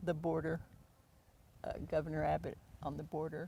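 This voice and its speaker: Speaking at a moderate pace, a woman with an American accent has a fairly low pitch, a dark, mellow tone and vocal fry. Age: 80s+. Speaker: local resident, former newspaper reporter. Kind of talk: interview.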